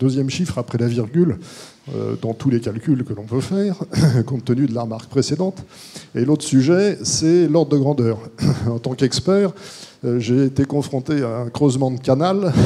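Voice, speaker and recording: A man talks at medium pitch and a moderate pace, with ordinary pitch variation. There are long, frequent pauses and noticeable background noise. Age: 60s. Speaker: court-appointed expert, audience member. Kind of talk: audience question at panel. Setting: conference hall with audience.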